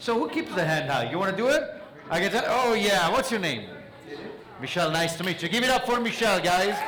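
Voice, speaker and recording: Over noticeable background noise and audible room echo, a man with a non-native accent talks at a fairly quick pace with lively intonation. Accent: noticeable foreign. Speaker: mentalist. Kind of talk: stage magic performance with audience interaction. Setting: stage with audience. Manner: animated.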